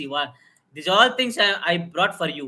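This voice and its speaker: Raised and projected, a man's high-pitched voice carries a bright, sharp tone at a moderate pace. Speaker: biomedical engineering teacher. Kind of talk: live technical lecture. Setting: live stream. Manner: loud; halting, many fillers.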